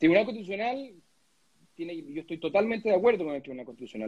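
A man with a Chilean accent speaks with very wide pitch swings. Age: 30s. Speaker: lawyer and political candidate. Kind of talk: interview. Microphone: connection problems.

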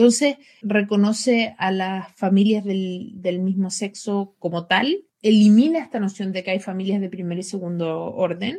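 A woman with a dark, mellow tone and a somewhat breathy voice speaks at a moderate pace, her pitch medium and her intonation fairly even. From Chile. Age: 30s. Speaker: LGBT rights advocate. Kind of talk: interview.

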